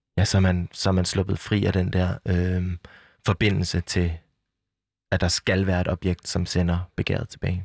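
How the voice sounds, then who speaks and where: With a very deep, low pitch, a man speaks fairly slowly in a monotone, flat intonation, his loudness very even in a dry, close sound with no echo. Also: very clean recording, silent background. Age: 40s. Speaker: art critic. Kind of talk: interview, reading aloud. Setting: studio.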